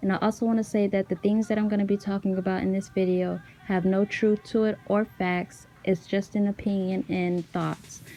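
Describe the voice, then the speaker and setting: A woman with a medium-pitched voice talks at a moderate pace in a flat monotone, her loudness very even and hardly any pauses breaking her speech. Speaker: YouTuber discussing celebrity conspiracies. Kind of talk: scripted voiceover. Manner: stutters and pauses when unscripted.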